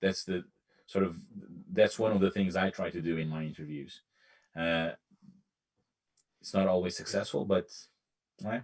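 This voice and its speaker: A man with a non-native accent speaks at a moderate pace in a very deep, low voice. His intonation is fairly even, and he takes long, frequent pauses. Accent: nondescript foreign. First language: not English. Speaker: hiring manager on a cyber security panel. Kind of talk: panel discussion. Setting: remote live stream panel. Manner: halting.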